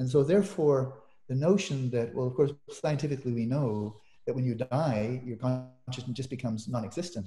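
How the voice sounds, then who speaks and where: Somewhat breathy and dark, mellow in tone, a man speaks at a medium pitch and a moderate pace. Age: 70s. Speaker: meditation teacher and scholar. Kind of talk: interview conversation.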